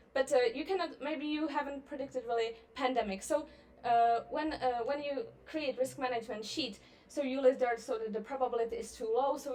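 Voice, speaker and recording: There is audible room echo as someone with a Czech accent speaks at a moderate pace with ordinary pitch variation. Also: woman. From Czech Republic. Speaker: libertarian public speaker. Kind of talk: conference presentation. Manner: hesitant, many fillers.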